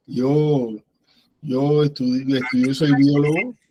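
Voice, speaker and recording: A man talks in a medium pitch with a dark, mellow tone. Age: 60s. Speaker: biologist, former university lecturer. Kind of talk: panel discussion remarks.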